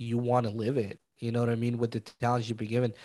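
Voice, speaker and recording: Medium-pitched male voice with a Spanish accent on a very clean recording, silent background. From Mexico. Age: 30s. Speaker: real estate investor. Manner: casual, chatty.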